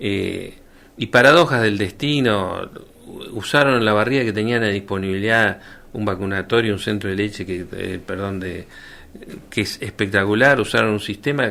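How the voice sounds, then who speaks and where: Speaking in a Rioplatense accent, a man with a fairly low pitch and a bright, sharp tone talks at a moderate pace with ordinary pitch variation. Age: 60s. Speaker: doctor and former health official. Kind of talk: radio interview. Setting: radio studio.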